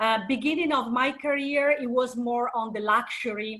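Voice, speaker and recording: At a fairly slow pace, a bright, sharp tone carries fairly even intonation through audible room echo. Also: woman. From Italy, Venice (northeast). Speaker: marketing director. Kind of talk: guest lecture.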